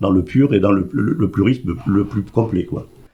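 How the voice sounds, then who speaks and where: A man speaks at a moderate pace in a fairly low voice. His tone is dark and mellow, and somewhat breathy. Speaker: president of a seniors' club. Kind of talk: radio interview.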